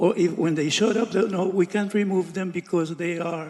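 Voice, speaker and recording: Noticeable background noise sits behind a man speaking at a high pitch. He talks at a moderate pace with ordinary pitch variation. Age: 70s. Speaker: property owner before code board. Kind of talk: testimony at public hearing. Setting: city code enforcement board meeting. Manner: halting.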